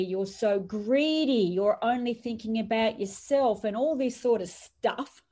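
The speaker has an Australian accent and talks at a fairly slow pace. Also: woman. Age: 50s. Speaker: entrepreneur and author. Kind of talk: podcast interview. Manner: animated.

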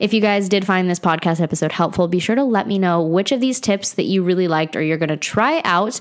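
A woman with a medium pitch speaks at a fairly quick pace with ordinary pitch variation amid noticeable background noise. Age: 20s. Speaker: wellness podcast host. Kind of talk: casual solo podcast monologue. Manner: casual, chatty with laughs and sighs.

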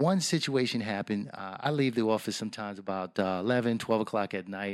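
A man with an American accent speaks at a fairly quick pace in a fairly low voice. His pitch varies in an ordinary way, and the recording is very clean with a silent background. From New York, the Bronx. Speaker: navy veteran and business owner. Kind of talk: interview. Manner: hesitant, many fillers.

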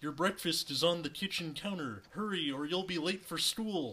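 A man's croaky, high-pitched put-on character voice at a moderate pace.

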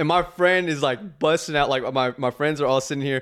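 This is a man speaking with a Texan accent. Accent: Texan American. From Texas, Dallas area. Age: 20s. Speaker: social media content creator. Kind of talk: casual chat.

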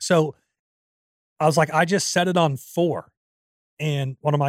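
A man with a fairly high pitch at a fairly slow pace, on a very clean recording with a silent background. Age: 40s. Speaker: podcast co-host. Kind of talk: casual chat. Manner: laughs often.

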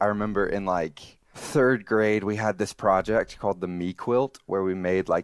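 In a very clean recording with a silent background, a man with an American accent and an ordinary speaking voice talks at a moderate pace and fairly low pitch. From Alabama, US South. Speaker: software developer, former minister. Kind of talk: interview.

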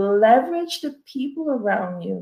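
A woman speaks at a fairly slow pace in a fairly high, somewhat breathy voice. Her pitch swings very widely. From Cameroon. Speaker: family physician. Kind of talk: panel discussion.

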